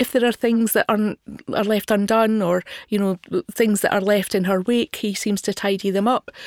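Spoken with a Scottish accent at a moderate pace, the intonation stays fairly even in a dry, close sound with no echo, on a very clean recording with a silent background. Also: woman. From Scotland, not Glasgow. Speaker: podcast co-host, film reviewer. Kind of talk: casual film discussion.

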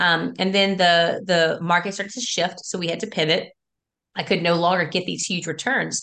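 A woman with an American accent, medium pitch and a bright, sharp tone, at a moderate pace over a quiet background. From South Louisiana. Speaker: school teacher and real estate investor. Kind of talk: interview. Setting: video call.

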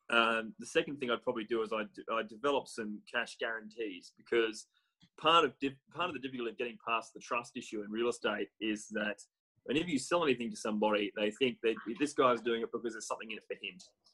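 A man talks at a very fast pace with an Australian accent. His tone is bright and sharp. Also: medium pitch for a man, ordinary pitch variation. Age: 30s. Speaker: real estate business development manager. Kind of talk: interview.

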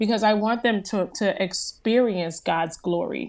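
On a very clean recording with a silent background, a woman with an American accent talks at a moderate pace in a medium pitch, with ordinary pitch variation and an unremarkable speaking voice. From US Northeast, New Jersey. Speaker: motivational speaker and former broadcaster. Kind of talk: interview testimony.

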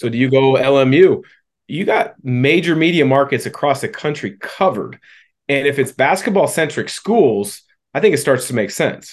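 This man has a plain, everyday voice, pitched fairly high and delivered at a moderate pace. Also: quiet background. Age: 40s. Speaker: podcast host, former basketball player. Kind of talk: interview.

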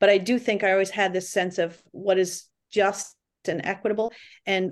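With an American accent, a woman talks in an ordinary speaking voice at medium pitch and a moderate pace against a quiet background. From Massachusetts (Lawrence). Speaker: rowing coach and para program director. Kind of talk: interview.

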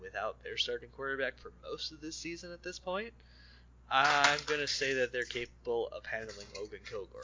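A man is speaking. He keeps a moderate pace. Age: 30s. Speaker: podcast co-host. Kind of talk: casual chat.

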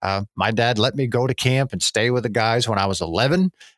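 In a very clean recording with a silent background and a dry, close sound with no echo, a man with an American accent and a plain, everyday voice speaks at a medium pitch and a fairly quick pace with ordinary pitch variation. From northern Pennsylvania. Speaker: wildlife biologist. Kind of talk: interview.

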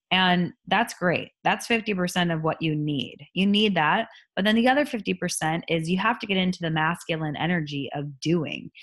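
In an unremarkable speaking voice, a woman talks at a medium pitch and moderate pace with ordinary pitch variation, in a very clean recording with a silent background. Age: 30s. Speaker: podcast host and life coach. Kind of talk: casual solo talk.

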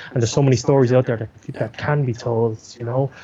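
With an Irish accent, a man talks at a very fast pace in a medium pitch. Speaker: news producer and camera operator. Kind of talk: interview. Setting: remote call. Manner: animated.

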